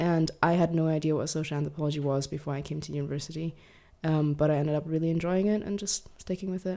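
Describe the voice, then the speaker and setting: Speaking very fast, a woman with a Mandarin accent has a very deep, low pitch and a dark, mellow tone, her intonation fairly even on a very clean recording with a silent background. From Germany, Hamburg. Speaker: content creator and university student. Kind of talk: casual interview chat.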